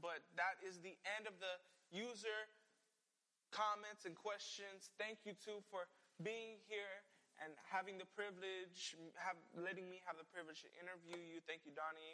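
A man speaks in a raised, projected voice, high-pitched for a man, with a bright, sharp tone, fairly even intonation and a moderate pace. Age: young. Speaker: interview show host, student. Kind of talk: casual interview.

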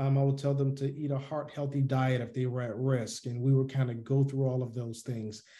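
Speaking with hardly any pauses, a man uses a flat, monotone delivery in a dark, mellow, somewhat breathy voice at medium pitch. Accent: American. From US South, Atlanta, Georgia. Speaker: army veteran and public health physician. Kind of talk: interview. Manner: halting, many fillers.

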